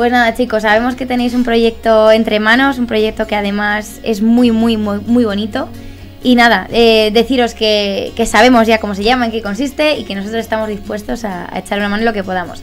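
Faint music plays in the background as a woman talks at a fairly quick pace. Her intonation stays flat and monotone. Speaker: program host. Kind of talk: interview host introduction. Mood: cheerful, laughing. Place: studio. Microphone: studio mic.

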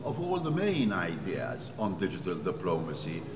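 Fairly slowly, a man talks, with noticeable noise in the background. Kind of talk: interview statement. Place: hall.

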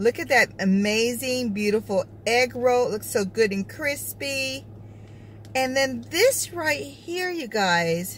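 There is light background noise, and the sound is dry with no echo. A woman speaks with lively intonation. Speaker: food vlogger. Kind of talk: casual mukbang review chat. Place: car. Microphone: phone near.

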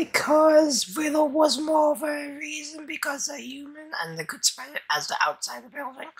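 A put-on character voice is pitched high. It moves at a moderate pace. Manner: flustered, apologetic, rambling.

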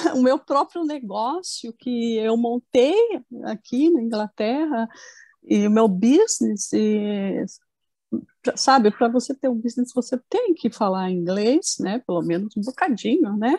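Speaking at a fairly slow pace with a Brazilian accent, this voice has a dark, mellow tone and a dry sound with no echo over a quiet background. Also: woman, lively intonation. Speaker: therapy client. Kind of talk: testimony. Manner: halting. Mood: calm, reflective. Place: home room. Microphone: earbuds.

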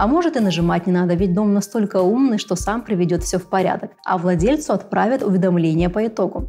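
The speech moves at a fairly quick pace. Faint music plays in the background. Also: woman. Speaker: show host. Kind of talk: educational presenter monologue. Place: studio.

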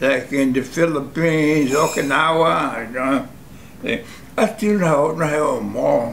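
Delivery is very slow, with ordinary pitch variation. Light noise sits in the background. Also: man. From United States. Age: 80s+. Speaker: war veteran. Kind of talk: interview answer. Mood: reflective, emotional. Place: home room.

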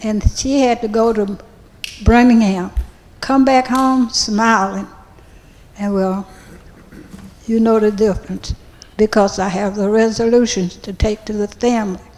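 Noticeable background noise behind a woman with an American accent, fairly high in pitch, fairly slow and fairly even, with long, frequent pauses. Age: 80s+. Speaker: church member speaking at council. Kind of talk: public comment at city council meeting.

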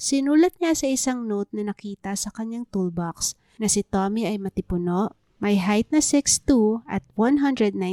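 A woman speaks at a fairly slow pace, her medium-pitched voice carrying a dark, mellow tone. Her pitch variation is ordinary, on a very clean recording with a silent background. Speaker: true crime narrator. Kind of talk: scripted narration.

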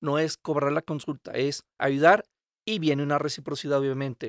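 A man with a normal speaking voice, fairly high in pitch, with fairly even intonation, in a dry sound with no echo and a quiet background. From Monterrey, northern Mexico; Mexico. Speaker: physician; podcast guest. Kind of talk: interview. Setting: in person, Querétaro. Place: studio. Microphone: studio mic.

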